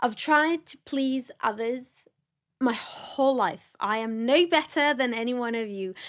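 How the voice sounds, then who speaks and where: On a very clean recording with a silent background, a woman sounds animated in a high-pitched voice. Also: ordinary pitch variation, fairly slow pace. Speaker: wedding planner and podcast host. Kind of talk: solo podcast talk.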